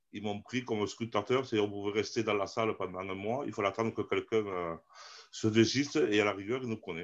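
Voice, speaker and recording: A man with a fairly low pitch rattles along at a very fast pace. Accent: southern French. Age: 50s. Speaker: amateur theatre actor. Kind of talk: interview. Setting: live stream. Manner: animated.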